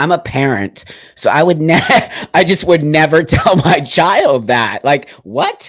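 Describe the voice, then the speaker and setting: A man with a fairly high voice and vocal fry talks at a fairly slow pace. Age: 60s. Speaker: podcast host. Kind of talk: interview.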